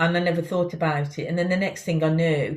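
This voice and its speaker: A woman speaks with a Birmingham accent. Her delivery is monotone, with flat intonation. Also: very clean recording, silent background. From Birmingham, England. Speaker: company CEO and founder. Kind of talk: interview. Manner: hesitant, many fillers.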